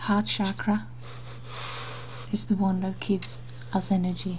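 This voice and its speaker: The speaker is soft-spoken. The delivery is very slow. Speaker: meditation guide. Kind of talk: guided meditation.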